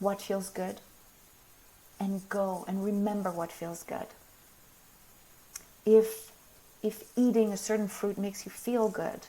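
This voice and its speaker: A woman of medium pitch speaks at a fairly slow pace in a monotone, flat intonation, leaving long, frequent pauses over noticeable background noise. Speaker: spiritual teacher. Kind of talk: live stream talk. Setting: live video stream.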